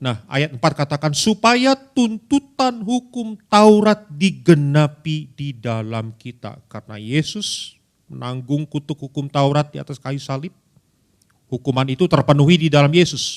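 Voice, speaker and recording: Recorded very clean with a silent background and a dry, close sound with no echo, a man with a West Javanese accent speaks at a fairly slow pace in an animated tone, his fairly high pitch making very wide swings and his loudness shifting in big swings. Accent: Sundanese. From Indonesia, Bandung (West Java). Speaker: pastor. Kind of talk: sermon. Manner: conversational, animated.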